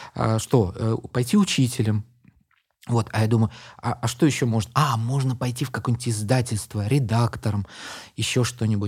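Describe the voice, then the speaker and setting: A man speaks in a somewhat breathy voice at a moderate pace. His intonation is fairly even, and his pauses are long and frequent. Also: medium pitch for a man. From Uzbekistan, Tashkent. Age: 50s. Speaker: poet and translator. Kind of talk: casual interview chat.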